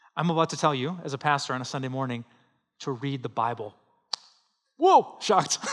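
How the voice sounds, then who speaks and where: A man with a fairly high pitch speaks at a fairly quick pace, using ordinary pitch variation and long, frequent pauses. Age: 40s. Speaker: pastor. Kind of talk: Sunday sermon, conversational preaching to a live congregation. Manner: conversational, with laughs and self-corrections; earnest, pleading exhortation with urgent repetition.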